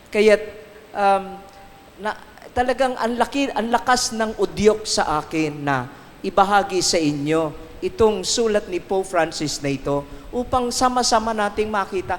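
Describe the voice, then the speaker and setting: A man's high-pitched voice at a fairly slow pace, lively in intonation, amid noticeable background noise. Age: 60s. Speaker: priest. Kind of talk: recollection talk. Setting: shrine with audience.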